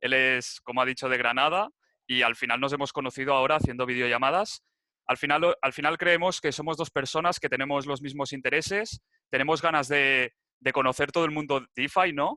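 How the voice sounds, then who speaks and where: A man speaks at a moderate pace with a bright, sharp tone and a fairly high pitch. His pitch varies in an ordinary way, and the sound is dry and close with no echo. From Spain, Barcelona (Catalonia). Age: 21. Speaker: crypto enthusiast presenter. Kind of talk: tutorial presentation. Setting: video call. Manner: casual, some hesitations.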